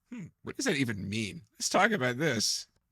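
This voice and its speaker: A man speaks in a soft-spoken way. His pace is moderate. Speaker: corporate trainer. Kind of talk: motivational training talk. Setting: studio.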